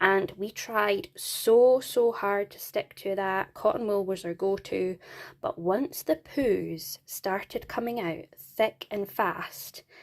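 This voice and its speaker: A woman with a Scottish accent talks at a very slow pace, her pitch medium and its variation ordinary. Her loudness swings widely. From Scotland. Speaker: parenting vlogger. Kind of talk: product review vlog. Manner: casual, chatty.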